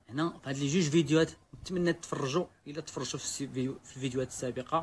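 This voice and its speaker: A man's fairly even intonation comes through light background noise. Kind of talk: casual vlog chat. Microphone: phone near.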